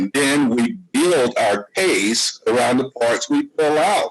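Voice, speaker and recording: This man has an American accent and talks at a very slow pace. His intonation is lively. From US South. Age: 60s. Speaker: podcast guest. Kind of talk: casual discussion.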